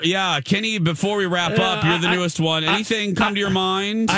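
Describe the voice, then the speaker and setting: Raising and projecting his voice, a man with a high pitch and ordinary pitch variation speaks over noticeable background noise. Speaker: radio show host. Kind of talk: casual. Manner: enthusiastic.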